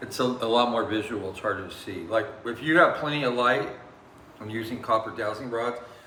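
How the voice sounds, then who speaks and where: A man speaks with fairly even intonation. The room echo is audible, and background noise is noticeable. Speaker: paranormal investigator. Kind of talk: casual chat. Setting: indoors at a distillery at night. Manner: halting, many fillers.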